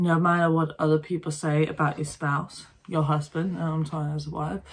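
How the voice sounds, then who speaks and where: A woman with a very deep, low pitch and a somewhat breathy voice speaks at a moderate pace with fairly even intonation, on a very clean recording with a silent background. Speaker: vlogger. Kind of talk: casual vlog monologue. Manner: halting, searching for words.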